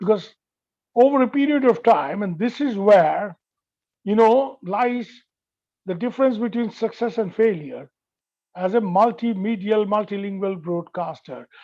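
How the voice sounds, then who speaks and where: Against a quiet background, a man with a Bengali accent and a high pitch speaks at a fairly slow pace with ordinary pitch variation and long, frequent pauses. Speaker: veteran journalist. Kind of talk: lecture.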